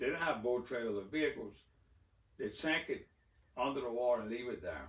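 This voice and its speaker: A man with a south Louisiana accent talks at a fairly quick pace. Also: medium pitch for a man, ordinary pitch variation. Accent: south Louisiana Cajun English. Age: 60s. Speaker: duck call maker and waterfowl hunter. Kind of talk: casual interview.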